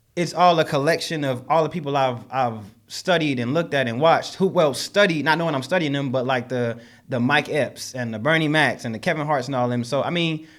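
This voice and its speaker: A man talks at a fairly quick pace in a fairly high voice with ordinary pitch variation. His tone is animated, and the recording is very clean with a silent background. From US South, Charlotte, North Carolina. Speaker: comedian and social media skit maker. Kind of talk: podcast interview. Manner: loud; casual, animated.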